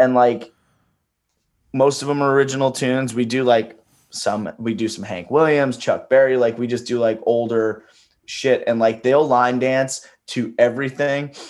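A man's unremarkable speaking voice, medium in pitch, at a moderate pace with fairly even intonation. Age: 20s. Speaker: singer-songwriter and touring musician. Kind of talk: casual chat. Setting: podcast interview.

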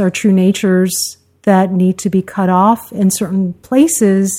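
A woman's medium-pitched voice with a dark, mellow tone, on a very clean recording with a silent background. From New York City (Queens), after early childhood in Mississippi. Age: 50s. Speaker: host's wife, guest. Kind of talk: casual conversation. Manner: reflective, hesitant.

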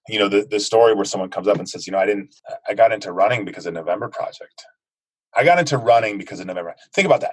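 Talking at a very fast pace with big swings in loudness, a man with an American accent speaks in a fairly low pitch. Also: ordinary pitch variation. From United States. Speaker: fitness movement co-founder. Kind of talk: interview. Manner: animated.

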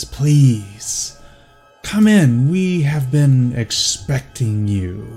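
A put-on character voice from a man, raspy and medium in pitch, with very wide pitch swings, a very slow pace and faint music in the background.

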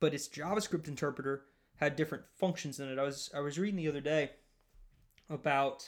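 With a Southern US accent, a man speaks at a fairly high pitch. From rural US Southeast (Louisiana area). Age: 20s. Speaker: podcast host, software developer. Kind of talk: solo monologue podcast.

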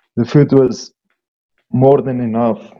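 He speaks with a South African accent. The speaker is a man. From Eastern Free State, South Africa. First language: Afrikaans. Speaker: farmer and mountain guide. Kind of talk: casual chat. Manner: halting.

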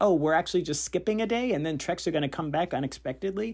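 The recording is very clean, with a silent background. A man speaks with vocal fry and lively intonation. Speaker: former reality show contestant. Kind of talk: voice memo message. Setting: recorded voice memo.

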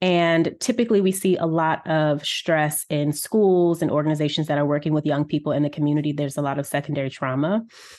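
A woman's very deep, low voice at a very fast pace with hardly any pauses, very even loudness and ordinary pitch variation, over a quiet background. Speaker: wellness coach and author. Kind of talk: interview conversation.

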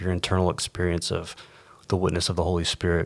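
In an American accent, a man talks at a very fast pace. His voice is very deep and low. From Texas and the Caribbean. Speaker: pastor. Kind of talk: casual chat.

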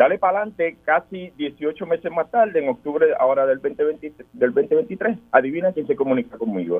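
A man's high-pitched voice with hardly any pauses. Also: moderate pace. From Puerto Rico, Guánica. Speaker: political candidate, military veteran. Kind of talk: radio interview.

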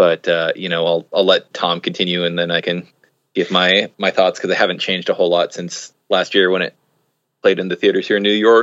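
The speech runs at a fairly quick pace over a quiet background, with a dry, close sound and no echo. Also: man. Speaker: guest, wrote essay for a box set. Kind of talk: casual podcast discussion.

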